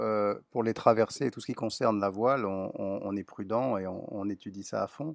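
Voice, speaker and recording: A man with a normal speaking voice talks at a moderate pace, fairly low in pitch and with fairly even intonation. The sound is dry and close with no echo, and the background is quiet. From southwest France, Lot-et-Garonne. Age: 60s. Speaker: business owner and traveller. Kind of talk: interview.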